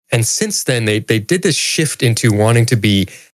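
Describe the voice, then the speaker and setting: On a very clean recording with a silent background, a man talks at a fairly quick pace. He has an ordinary speaking voice, medium pitch and lively intonation. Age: 50s. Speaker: returning podcast guest. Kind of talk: casual chat.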